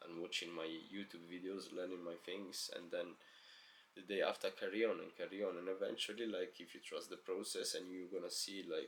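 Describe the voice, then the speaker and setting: A man with a non-native accent at a moderate pace. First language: not English. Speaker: self-help vlogger. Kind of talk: motivational monologue. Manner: casual, filler-heavy.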